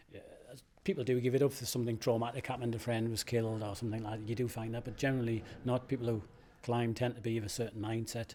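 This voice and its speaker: Very fast and monotone with flat intonation, a man speaks in a dark, mellow tone. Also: medium pitch for a man. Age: 60s. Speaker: rock climber. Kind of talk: interview.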